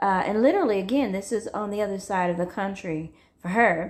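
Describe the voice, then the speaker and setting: A woman talks at a medium pitch. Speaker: true crime storyteller. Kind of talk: casual true crime storytelling. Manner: loud, carrying voice; halting, many fillers.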